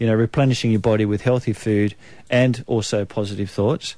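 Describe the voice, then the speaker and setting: Speaking in a New Zealand accent, a man uses a medium pitch and fairly even intonation. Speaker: naturopath, radio guest. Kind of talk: informal explanatory health advice.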